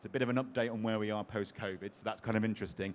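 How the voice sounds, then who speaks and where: In an English accent, a man speaks at a very fast pace with ordinary pitch variation. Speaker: panel moderator. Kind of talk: conference panel moderation.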